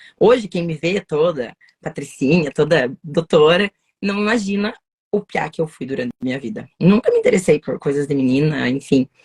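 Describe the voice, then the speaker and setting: A woman with a very deep, low pitch speaks at a moderate pace in a somewhat breathy, energetic tone with lively intonation. The sound is dry and close with no echo. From southern Brazil, Paraná (União da Vitória). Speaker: lawyer. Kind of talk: casual interview. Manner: talkative, energetic.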